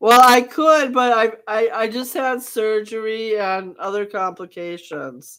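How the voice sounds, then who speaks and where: A normal speaking voice moves at a fairly slow pace with ordinary pitch variation and big swings in loudness. The recording is very clean, with a silent background. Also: woman, fairly high pitch for a woman. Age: 60s. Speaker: radio show host. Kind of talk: casual chat.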